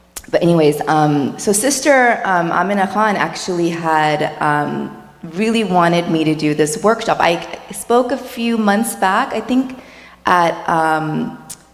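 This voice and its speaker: A woman's fairly low voice at a fairly slow pace, very even loudness, and audible room echo. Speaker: dietitian. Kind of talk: workshop talk.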